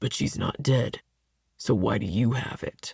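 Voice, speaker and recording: A man growls in a put-on character voice at medium pitch and a moderate pace. The sound is dry and close, with no echo. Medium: read story. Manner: smug, domineering.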